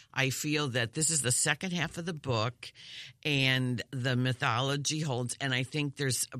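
Recorded dry and close with no echo, a man talks at a fairly slow pace in a bright, sharp tone. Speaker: film critic. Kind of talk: casual chat.

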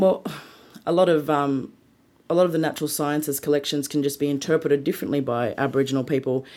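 In a very clean recording with a silent background, a woman with an Australian accent speaks very fast in a very deep, low pitch, her tone dark and mellow and her intonation fairly even. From Sydney, Australia. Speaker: museum creative producer. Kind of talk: interview.

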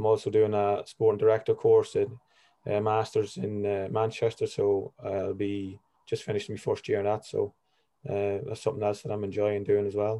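Over a quiet background, a man with a Monaghan accent speaks at a moderate pace in monotone, flat intonation. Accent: Irish, Monaghan. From Ireland, County Monaghan. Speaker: football agent, former footballer. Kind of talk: interview.

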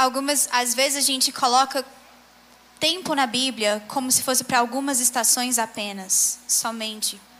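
A woman speaks in a raised, projected voice at a high pitch, with fairly even intonation and very even loudness at a moderate pace. Noticeable background noise is present. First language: Portuguese. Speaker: interpreter. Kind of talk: sermon interpretation. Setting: church stage with audience.

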